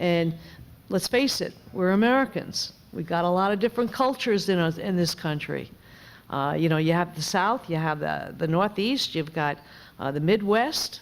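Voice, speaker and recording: A woman speaks with a New York accent and a fairly low pitch. Her intonation is lively. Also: moderate pace. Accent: New York accent, noticeable. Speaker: member of Congress. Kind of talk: panel discussion.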